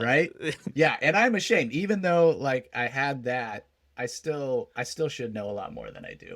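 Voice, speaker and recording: Using a normal speaking voice, a man with an American accent talks at a moderate pace, his fairly high pitch set off by lively intonation and big swings in loudness. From South Texas. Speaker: stand-up comedian. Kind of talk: interview answer.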